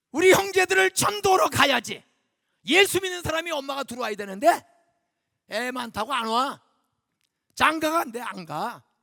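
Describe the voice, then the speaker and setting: In a raised, projected voice with an extremely high pitch and a bright, sharp tone, a man speaks in an animated way, his pitch swinging very widely, his loudness swinging a lot, with long, frequent pauses. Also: moderate pace. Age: 70s. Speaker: guest pastor. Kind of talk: sermon. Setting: church. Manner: animated, conversational.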